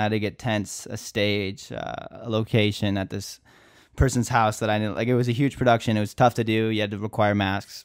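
A man's normal speaking voice with an American accent, medium in pitch, at a fairly quick pace with fairly even intonation, on a very clean recording with a silent background. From Minnesota, US Midwest. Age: 20s. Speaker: content creator and musician. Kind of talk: casual interview chat.

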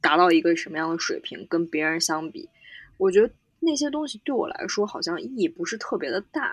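Speaking at a medium pitch and a fairly quick pace, a woman makes very wide pitch swings and big shifts in loudness. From China, Xi'an. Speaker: ski instructor. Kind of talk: casual chat.

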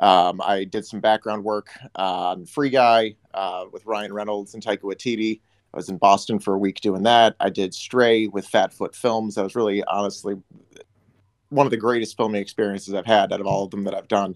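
Speaking with an American accent, a man has an unremarkable speaking voice, fairly low in pitch, with fairly even intonation at a moderate pace, and the sound is dry and close with no echo. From US Midwest, Detroit. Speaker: actor and filmmaker. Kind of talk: casual interview chat.

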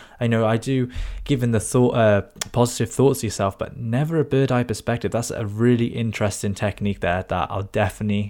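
A man talks at a fairly quick pace in a normal speaking voice. His pitch is medium and his intonation fairly even. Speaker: podcast co-host. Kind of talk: podcast interview.

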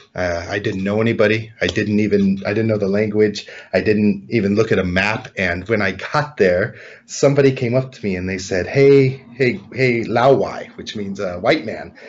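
A man with an American accent talks at a moderate pace. His pitch is fairly low, with ordinary pitch variation. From California. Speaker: realtor. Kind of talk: interview.

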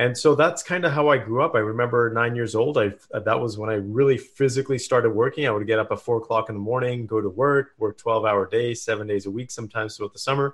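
In a Canadian accent, a man talks at a very fast pace, somewhat breathy, with medium pitch and ordinary pitch variation. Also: hardly any pauses. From Canada, small town in British Columbia. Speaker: entrepreneur and performance coach. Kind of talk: interview.

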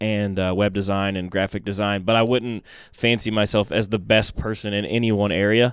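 Flat and monotone, a man rattles along at a very fast pace. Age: 30s. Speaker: marketing business owner. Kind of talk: casual interview.

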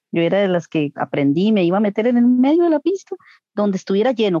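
At a fairly quick pace, a woman uses a plain, everyday voice at a medium pitch with lively intonation. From Costa Rica, Coronado. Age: 40s. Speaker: homemaker and swing dancer. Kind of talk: interview. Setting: video call.

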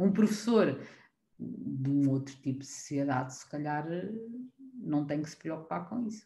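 A woman with a very deep, low pitch and a dark, mellow, somewhat breathy tone speaks at a fairly slow pace, pausing long and often. Her pitch swings very widely, and so does her loudness. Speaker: preschool teacher. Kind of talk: casual chat.

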